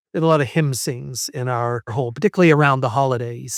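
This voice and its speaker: A man's pitch varies in an ordinary way on a very clean recording where the background is silent. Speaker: history professor. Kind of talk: podcast interview. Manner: halting, many repetitions; reflective.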